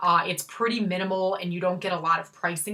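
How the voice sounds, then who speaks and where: A woman talks at a fairly quick pace with a Chicago accent. Her fairly low voice has a bright, sharp tone. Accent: Chicago accent, self-described as horrible. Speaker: handbag YouTuber. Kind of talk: casual vlog reveal. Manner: casual, filler-heavy.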